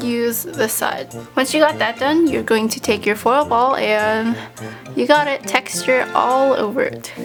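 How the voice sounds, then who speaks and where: Music plays behind a woman as she speaks. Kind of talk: craft tutorial voice-over. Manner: casual, friendly.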